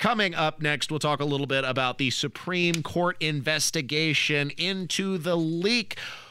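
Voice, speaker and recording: With a bright, sharp, animated tone, a man talks at a moderate pace with hardly any pauses, very even loudness and ordinary pitch variation. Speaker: radio host. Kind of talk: radio dj patter. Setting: radio studio. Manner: chatty, jokey, animated.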